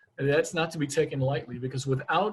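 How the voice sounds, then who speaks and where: A man's somewhat breathy voice sits at a fairly high pitch with fairly even intonation. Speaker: naturopathic physician. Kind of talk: lecture. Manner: fast; halting, many repetitions.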